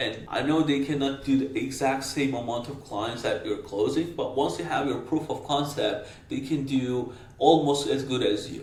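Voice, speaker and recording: Audible room echo and noticeable background noise around a man speaking at a moderate pace. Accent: non-native. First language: not English. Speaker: marketing agency owner, business coach. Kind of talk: talking-head business advice. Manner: casual, direct.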